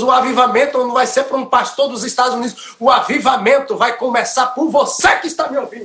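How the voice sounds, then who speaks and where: A man speaks at a moderate pace in an extremely high-pitched voice, with an animated tone and lively intonation. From Bahia, Brazil. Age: 40s. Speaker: professional footballer. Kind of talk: testimony.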